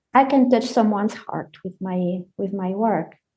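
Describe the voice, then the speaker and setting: Her tone is dark and mellow, and her intonation is lively. The woman talks at a fairly slow pace. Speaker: collagist and poet. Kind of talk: casual chat.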